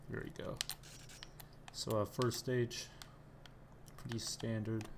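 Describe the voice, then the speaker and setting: The voice is quiet. It moves at a very slow pace. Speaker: gamer playing on stream. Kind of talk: gameplay commentary. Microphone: too quiet on stream.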